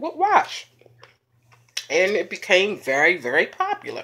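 Light background noise is present. Over it, a woman talks. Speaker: mukbang vlogger. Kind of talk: casual vlog chat. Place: home room. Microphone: phone near.

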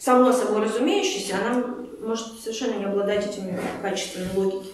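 A woman speaks amid strong room echo. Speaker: workshop leader, psychologist. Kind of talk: lecture. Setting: workshop with audience. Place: meeting room. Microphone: camera far.

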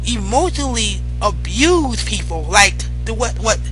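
Music plays in the background as a man with a very deep, low pitch speaks, the sound dry with no echo. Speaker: vlogger. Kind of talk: casual opinion vlog commentary. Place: home room. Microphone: headset.

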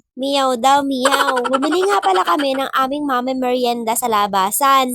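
Over noticeable background noise, a woman talks at a fairly quick pace in a high pitch with lively intonation. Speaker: family vlogger. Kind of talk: scripted narration.

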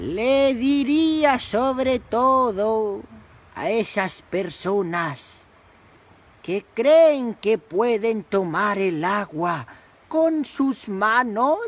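Cartoonish character voice at a very slow pace and a fairly high pitch. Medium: puppet. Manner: slow, solemn.

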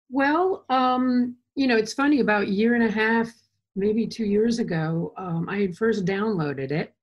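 Her voice is fairly high-pitched and somewhat breathy. This woman speaks at a fairly slow pace with lively intonation. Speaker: artist. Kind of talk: casual interview. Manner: rambling, enthusiastic.

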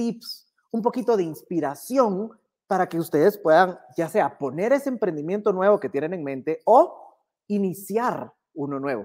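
Against a quiet background, a man talks at a fairly slow pace in a high pitch with very wide pitch swings. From Guatemala. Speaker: business instructor. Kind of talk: online workshop lecture. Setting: livestream. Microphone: earbuds.

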